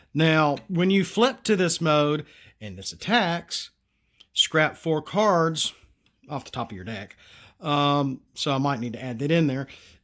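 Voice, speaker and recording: A man with a Southern US accent and a fairly high pitch speaks at a fairly slow pace, his volume swinging widely on a very clean recording with a silent background. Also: lively intonation. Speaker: card game designer, solo channel host. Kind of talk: casual tutorial / card review.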